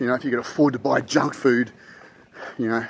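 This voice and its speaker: Noticeable background noise sits behind a man with an Australian accent speaking at medium pitch. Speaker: financial advisor. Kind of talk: casual talk to camera. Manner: hesitant, many fillers and repeats.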